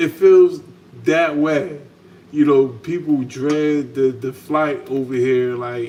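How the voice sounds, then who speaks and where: Noticeable background noise surrounds a man talking at a very slow pace. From United States. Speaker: channel host, salon owner. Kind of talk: casual chat. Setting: home kitchen, livestream.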